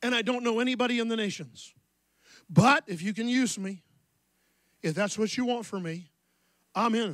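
In a quiet, dry setting with no echo, a man speaks at a moderate pace with a high pitch. His pitch varies an ordinary amount, and his pauses are long and frequent. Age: 60s. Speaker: pastor. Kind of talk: sermon. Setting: church. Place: church. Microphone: handheld.

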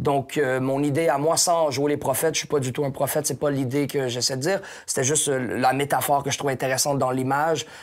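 Talking very fast with a Quebec accent, the speaker keeps a monotone, flat intonation against a quiet background. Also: man, fairly high pitch for a man. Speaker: hip-hop artist and painter. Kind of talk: casual interview. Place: home room. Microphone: lapel.

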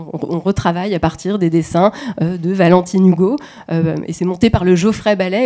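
Against a quiet background, a woman speaks at a fairly slow pace and medium pitch, with a dark, mellow tone and ordinary pitch variation. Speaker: dance researcher. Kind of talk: academic presentation. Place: hall.

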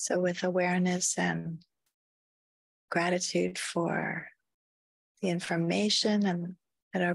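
The woman speaks very slowly at a fairly low pitch, with long, frequent pauses. Her loudness stays very even and her intonation fairly even. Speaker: meditation guide. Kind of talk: guided deep relaxation. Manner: slow, soft-spoken.

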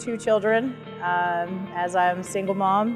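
With clear music in the background, a woman talks fairly slowly. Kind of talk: interview answer. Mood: reflective, warm. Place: street.

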